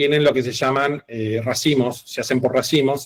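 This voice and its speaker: A man speaks with ordinary pitch variation. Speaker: teacher. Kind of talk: online class lecture. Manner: fast.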